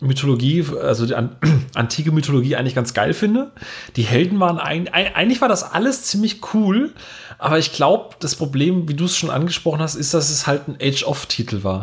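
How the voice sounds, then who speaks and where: Here a man talks at a fairly quick pace with a fairly high pitch. His pitch swings very widely. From rural Germany. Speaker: podcast host. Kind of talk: casual chat.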